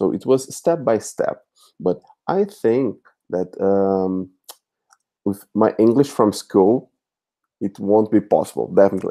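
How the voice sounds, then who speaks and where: A man with a Brazilian accent and a dark, mellow tone, at a fairly slow pace with ordinary pitch variation and long, frequent pauses. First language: Portuguese. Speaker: language teacher. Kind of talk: live chat interview. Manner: halting, many fillers.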